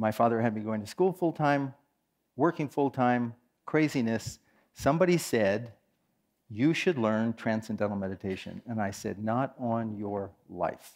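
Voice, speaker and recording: Recorded very cleanly against a silent background, a man with an American accent and an unremarkable speaking voice talks at a moderate pace and medium pitch with lively intonation. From US West Coast, San Francisco Bay Area. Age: 60s. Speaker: meditation teacher. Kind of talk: conference talk.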